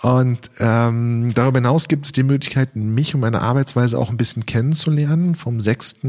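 With noticeable background noise behind him, a man talks at a moderate pace and medium pitch, his intonation fairly even, his loudness very even and his speech hardly broken by pauses. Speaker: magician and YouTube video consultant. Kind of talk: interview. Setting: podcast.

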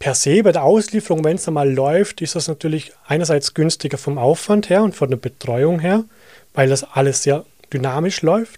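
A man's fairly high, dark and mellow voice with a slight Vorarlberg accent, at a moderate pace with ordinary pitch variation. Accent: Vorarlberg Austrian German, light. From Austria, Vorarlberg. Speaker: digital advertising consultant. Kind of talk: podcast interview.

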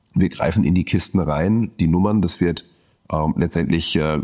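Fairly slow and fairly even in intonation, a man talks with a very deep, low pitch. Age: 30s. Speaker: brewer. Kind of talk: casual chat.

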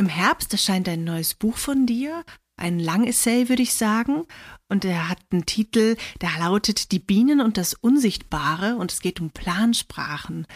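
Fairly slow, somewhat breathy speech with lively intonation and a dry, close sound with no echo. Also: woman, medium pitch for a woman. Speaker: poet and podcast host. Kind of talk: casual interview with quiz. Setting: online recording.

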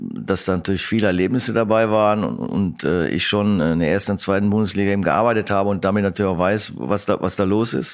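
A man with a normal speaking voice and a fairly low pitch talks at a fairly quick pace, with ordinary pitch variation. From Germany, Lower Rhine (Krefeld). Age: 50s. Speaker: football coach. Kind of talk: interview.

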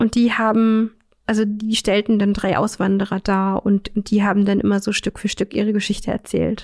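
In a dry, close recording with no echo, a woman speaks at a moderate pace and medium pitch, her dark, mellow tone held in monotone, flat intonation. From Saxony-Anhalt, Magdeburg. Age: 30s. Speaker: counselor for blind people. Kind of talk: casual interview.

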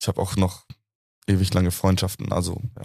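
Recorded very cleanly against a silent background, with a dry, close sound and no echo, a man talks at a moderate pace in a fairly low pitch. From Munich, Bavaria. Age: 20s. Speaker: university student. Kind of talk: casual chat.

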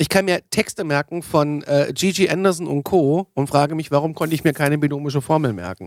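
A man talks at a fairly quick pace with ordinary pitch variation and hardly any pauses. The recording is very clean, with a silent background and a dry, close sound with no echo. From Germany, northern Hesse. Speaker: podcast host. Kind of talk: casual chat. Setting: studio.

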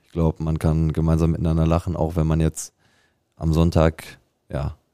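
This man's pitch sits very deep and low. His tone is dark and mellow. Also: dry, close sound with no echo. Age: 20s. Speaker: amateur football striker. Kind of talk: casual chat. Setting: studio.

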